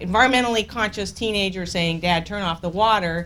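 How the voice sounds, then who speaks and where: Audible room echo surrounds a woman speaking at a very fast pace. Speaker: energy policy consultant. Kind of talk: conference talk. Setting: conference room with audience. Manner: loud.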